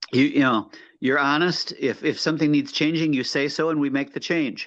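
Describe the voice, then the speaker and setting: Against a quiet background, a man speaks at a moderate pace with a fairly high pitch and fairly even intonation. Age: 60s. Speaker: coaching client. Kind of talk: testimony. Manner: halting.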